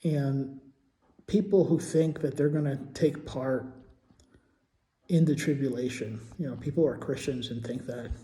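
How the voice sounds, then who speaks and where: A man's fairly high, dark and mellow voice, somewhat breathy, at a moderate pace with ordinary pitch variation and long, frequent pauses. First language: Portuguese. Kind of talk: casual monologue vlog. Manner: halting, many fillers and repetitions.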